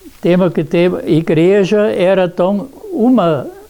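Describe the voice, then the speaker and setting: A man talks with ordinary pitch variation. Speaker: elderly resident. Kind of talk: oral history interview. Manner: halting, many repetitions.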